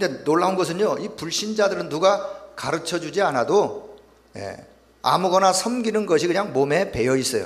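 There is audible room echo and noticeable background noise. A man with a high pitch and ordinary pitch variation speaks at a moderate pace. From South Korea, North Gyeongsang, Yecheon. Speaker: pastor. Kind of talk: sermon with consecutive interpretation. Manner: pausing for interpreter after each sentence.

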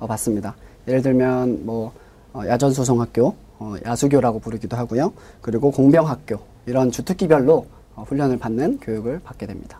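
Here a man speaks at a medium pitch and moderate pace, his tone dark and mellow. His loudness swings widely, and he takes long, frequent pauses. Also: ordinary pitch variation. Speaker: discharged soldier and seminary student. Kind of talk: interview.

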